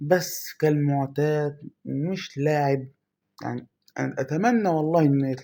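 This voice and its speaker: A man's dark, mellow voice with an Egyptian accent, at a fairly slow pace and with ordinary pitch variation. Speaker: mobile gaming youtuber. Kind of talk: gameplay commentary.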